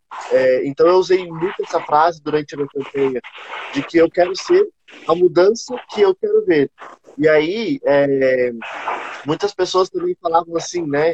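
Recorded dry and close with no echo, a man speaks at a high pitch, leaving long, frequent pauses. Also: ordinary pitch variation, moderate pace. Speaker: city council candidate. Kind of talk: casual online panel chat. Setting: video call live stream. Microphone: unstable internet connection.

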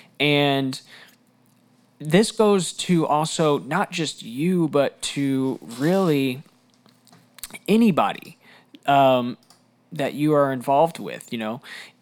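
At a very slow pace and with long, frequent pauses, a man speaks in a fairly high pitch with ordinary pitch variation. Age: 20s. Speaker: youth pastor. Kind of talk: podcast monologue. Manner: casual, conversational.

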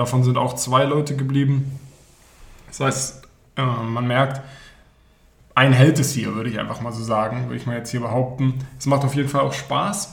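Audible room echo surrounds a man of medium pitch and fairly even intonation. He keeps a moderate pace with long, frequent pauses. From Berlin. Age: 20s. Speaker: student podcast co-host, startup project manager. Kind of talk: casual chat.

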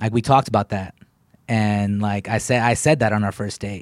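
A man with an American accent has a normal speaking voice at a fairly low pitch and fairly even intonation. The recording is very clean, with a silent background. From Texas, Killeen. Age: 30s. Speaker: comedian. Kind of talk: casual chat.

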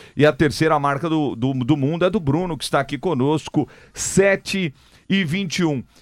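A man with a normal speaking voice talks fairly slowly at a fairly high pitch with ordinary pitch variation, in a very clean recording with a silent background. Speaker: radio sports host. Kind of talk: live radio show. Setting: radio studio.

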